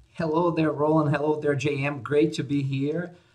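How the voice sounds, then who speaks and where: A man speaks with a Portuguese accent. His voice is somewhat breathy, at a moderate pace. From Brazil. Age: 50s. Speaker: conference organizer and business advisor. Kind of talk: podcast interview. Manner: hesitant, many fillers.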